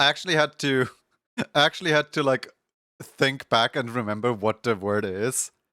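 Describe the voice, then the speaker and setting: A man with a non-native accent and a bright, sharp tone, with long, frequent pauses, very even loudness and ordinary pitch variation, in a very clean, dry, close recording with no echo and a silent background. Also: medium pitch for a man, moderate pace. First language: not English. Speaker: video game streamer. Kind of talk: casual chat.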